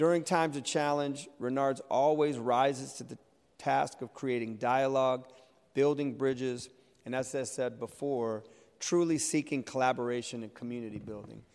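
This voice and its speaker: A man with a normal speaking voice talks at a moderate pace and medium pitch, his intonation fairly even while his loudness swings widely. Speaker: city council member. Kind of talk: formal public meeting. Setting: legislative chamber in city hall.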